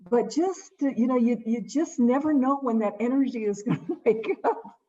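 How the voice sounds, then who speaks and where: Her voice is high-pitched, and this woman speaks at a fairly slow pace. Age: 80s+. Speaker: webinar participant. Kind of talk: casual chat.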